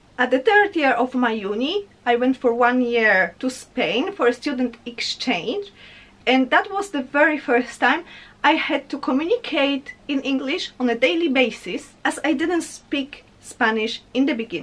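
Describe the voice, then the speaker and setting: With a strong Polish accent, a woman speaks in a high voice with lively intonation. Her pace is fairly slow. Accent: heavy Polish. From Poland. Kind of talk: casual talk to camera.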